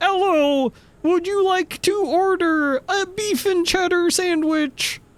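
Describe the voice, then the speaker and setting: In a put-on, robotic character voice, the speaker talks at a fairly slow pace and an extremely high pitch. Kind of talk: polite order-taker.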